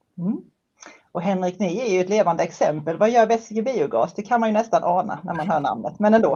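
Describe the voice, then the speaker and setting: A woman with a west Swedish accent speaks at a fairly quick pace with ordinary pitch variation. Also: medium pitch for a woman. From western Sweden. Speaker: moderator. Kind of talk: moderated panel discussion. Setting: livestream.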